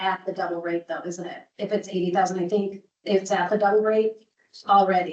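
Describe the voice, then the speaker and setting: A woman speaks with fairly even intonation at a medium pitch. It is an ordinary speaking voice. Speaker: presenter at council public hearing. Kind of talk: public hearing presentation.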